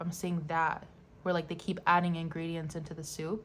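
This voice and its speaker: A woman with a fairly low pitch speaks at a fairly quick pace. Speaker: tarot reader. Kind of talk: tarot reading to camera. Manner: halting, stuttering; casual, filler-heavy.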